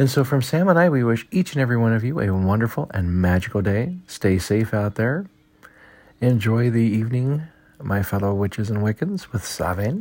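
A man with an American accent in an ordinary speaking voice, medium pitch and lively intonation, on a very clean recording with a silent background. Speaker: pagan podcast host. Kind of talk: brisk daily weather report read off a forecast, numbers rattled through. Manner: quick, matter-of-fact list reading of temperatures and times; friendly and informal, stumbles and laughs at own slips.

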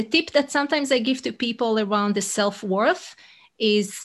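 A woman speaks with an Israeli accent and lively intonation. Her pitch is fairly high. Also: very clean recording, silent background. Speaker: leadership coach. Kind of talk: interview answers, conversational. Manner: thoughtful, hesitant, playful.

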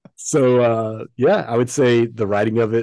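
At a fairly slow pace, a man talks in a normal speaking voice with a medium pitch against a quiet background. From US South. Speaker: creative director. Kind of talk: interview conversation.

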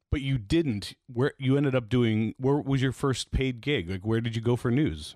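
With a Canadian accent, a man speaks in a plain, everyday voice at a medium pitch and moderate pace, with ordinary pitch variation and a dry, close sound with no echo. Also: hardly any pauses. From East Toronto, Canada. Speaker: podcast host, former radio program director. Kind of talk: casual interview chat. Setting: home basement studio.

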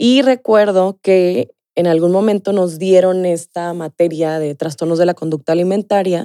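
A woman with a fairly low pitch and a dark, mellow tone speaks at a fairly slow pace with ordinary pitch variation, in a dry, close sound with no echo. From Mexico, Sonora (Ciudad Obregón). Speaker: nutritionist. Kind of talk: casual interview.

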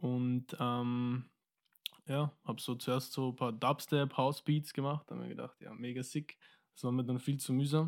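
The voice moves at a moderate pace with a monotone, flat delivery. The recording is very clean, with a silent background. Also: man, medium pitch for a man. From Austria, Wiener Neustadt. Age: 20s. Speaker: musician. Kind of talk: casual chat.

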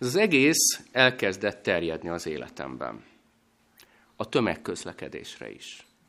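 A man speaks at a moderate pace. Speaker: guest preacher. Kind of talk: sermon. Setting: church.

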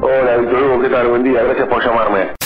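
Audible room echo surrounds the voice. Noticeable background noise is also present. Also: man. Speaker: journalist. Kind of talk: phone interview.

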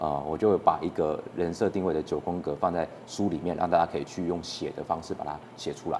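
Over noticeable background noise, a man with a very deep, low pitch talks with hardly any pauses. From Taiwan, Keelung. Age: 20s. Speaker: short-video creator and author. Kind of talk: casual interview.

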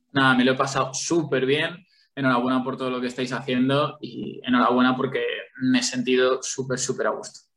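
Speaking at a fairly quick pace, a man uses monotone, flat intonation. His pitch is medium. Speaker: sports journalist and football commentator. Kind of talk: casual interview chat.

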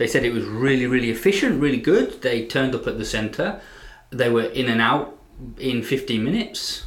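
A man speaks with an English Midlands accent. His pace is fairly quick. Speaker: English teacher and podcast co-host. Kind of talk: casual chat.

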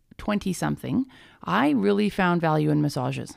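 A woman speaks in a western Canadian accent. The recording is very clean, with a silent background. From Alberta, Canada. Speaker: paramedic and energy healer. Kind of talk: interview.

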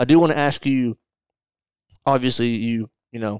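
A very clean recording with a silent background, dry and close with no echo, in a Southern US accent with fairly even intonation. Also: man. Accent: Southern US (Georgia). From north Georgia, US South. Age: 20s. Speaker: podcast host. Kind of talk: scripted outro; casual chat.

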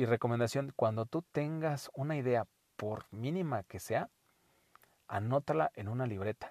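In a dry, close sound with no echo and a quiet background, a man of medium pitch speaks at a fairly slow pace, with ordinary pitch variation and long, frequent pauses. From Mexico, Puebla. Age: 30s. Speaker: podcast host, life coach. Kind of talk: solo monologue podcast. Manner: halting, frequent repetitions.

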